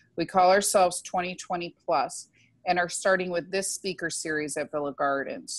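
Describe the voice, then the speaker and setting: At a moderate pace, a woman speaks in a plain, everyday voice with a fairly low pitch. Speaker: event host introducing speaker. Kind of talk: introduction speech. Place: home room. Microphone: earbuds.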